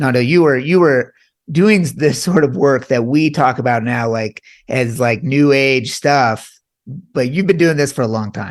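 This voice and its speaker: In a quiet background, a man speaks in a plain, everyday voice at a medium pitch and fairly slow pace, with ordinary pitch variation. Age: 40s. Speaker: podcast host, doctor. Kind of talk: podcast interview.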